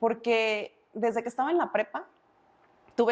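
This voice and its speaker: A woman at a fairly high pitch and moderate pace in a very clean recording with a silent background. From Mexico, Uruapan, Michoacán. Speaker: insurance and savings advisor, speaker. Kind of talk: interview conversation.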